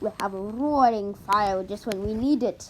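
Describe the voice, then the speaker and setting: Over clear background noise, the speaker performs a put-on character voice at a moderate pace. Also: woman, medium pitch for a woman. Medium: read story.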